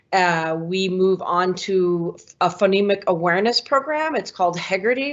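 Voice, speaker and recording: A woman speaks in a plain, everyday voice at medium pitch, with ordinary pitch variation and a moderate pace. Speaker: kindergarten teacher. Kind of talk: online information session presentation.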